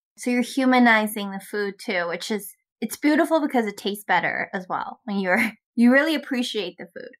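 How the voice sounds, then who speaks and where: A woman with a Canadian accent has a normal speaking voice, fairly high in pitch, with lively intonation and big swings in loudness. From Canada. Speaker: podcast host. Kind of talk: interview.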